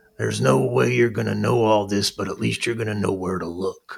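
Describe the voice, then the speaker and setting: A man puts on a character voice, gravelly and fairly low-pitched. He talks at a fairly quick pace. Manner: dry, sage advice.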